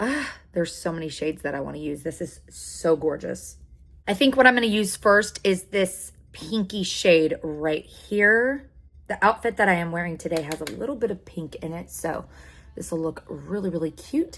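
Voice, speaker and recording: At a moderate pace, a woman with fairly low pitch speaks in an animated tone, with lively intonation, vocal fry and big swings in loudness. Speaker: beauty youtuber. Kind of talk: makeup tutorial.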